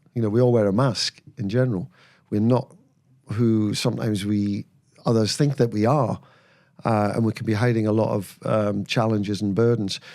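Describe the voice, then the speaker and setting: The man's voice is fairly low, with a dark, mellow tone and a moderate pace. The recording is very clean, with a silent background. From northern England, Berwick-upon-Tweed on the Scottish border. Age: 60s. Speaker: former footballer and mental health charity founder. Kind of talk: casual interview. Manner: hesitant, frequent fillers and repetitions.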